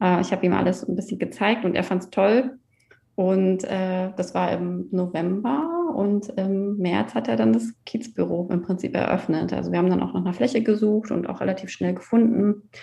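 Lively intonation with vocal fry at a moderate pace. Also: woman, medium pitch for a woman. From Mecklenburg-Western Pomerania, Germany. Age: 30s. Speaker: coworking space founder. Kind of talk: interview.

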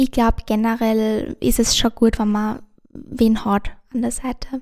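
On a very clean recording with a silent background, a woman speaks at a very slow pace in a fairly high pitch with a dark, mellow tone. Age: young. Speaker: university student. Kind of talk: interview. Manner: halting.

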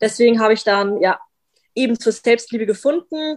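Speaking at a moderate pace in an unremarkable speaking voice, a woman has a fairly high pitch and lively intonation, recorded with a dry, close sound and no echo. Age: 20s. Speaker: vegan content creator and animal welfare activist. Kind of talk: casual interview.

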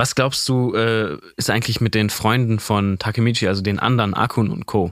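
Fairly even intonation at a moderate pace, in a very clean recording with a silent background and a dry, close sound free of echo. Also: man. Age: 20s. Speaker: manga podcast co-host. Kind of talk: casual chat. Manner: hesitant with fillers.

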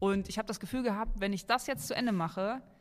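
In a very clean recording with a silent background, a woman uses a normal speaking voice at a medium pitch and a fairly quick pace. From western Germany, Oberbergisches Land near Cologne. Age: 30s. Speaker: maker and video creator. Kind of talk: casual chat.

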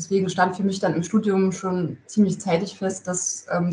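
A somewhat breathy woman's voice at medium pitch. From Thuringia, Gera (eastern Germany). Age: 30s. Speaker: construction project manager. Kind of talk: interview. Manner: hesitant, many filler sounds.

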